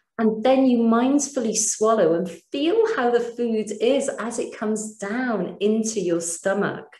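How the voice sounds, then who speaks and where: A woman's fairly high voice with a British accent. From Britain. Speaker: mindfulness teacher. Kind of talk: webinar lecture with guided practice. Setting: online webinar. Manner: calm.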